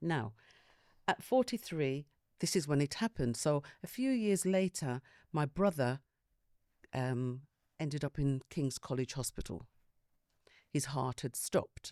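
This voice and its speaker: In a London accent, a woman with a very deep, low pitch and a dark, mellow tone talks at a fairly slow pace with lively intonation and long, frequent pauses, the sound dry and close with no echo on a very clean recording against a silent background. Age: 60s. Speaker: panel guest sharing health experience. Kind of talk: personal testimony in group discussion.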